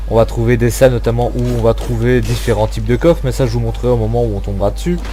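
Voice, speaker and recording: Over background music and audible room echo, a man talks very fast. His very deep voice stays flat and monotone. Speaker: gaming youtuber. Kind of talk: gameplay commentary. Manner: hesitant, many fillers.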